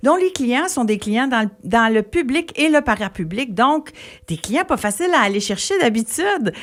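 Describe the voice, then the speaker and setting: A woman with a Quebec accent and very wide pitch swings. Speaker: radio host. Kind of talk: radio interview.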